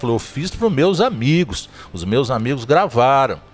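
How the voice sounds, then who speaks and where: Against music in the background, a man with a fairly high pitch speaks at a moderate pace, his pitch swinging very widely. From Zona da Mata, Minas Gerais, Brazil. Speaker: podcast host. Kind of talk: casual interview chat, storytelling.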